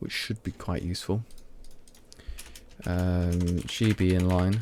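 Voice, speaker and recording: A man's very deep, low voice with a Midlands accent, dark and mellow in tone, at a very slow pace with fairly even intonation. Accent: Midlands, mild. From English Midlands, Leicester. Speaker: programmer streamer. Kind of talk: live coding stream. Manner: halting, many fillers; speaking clearly.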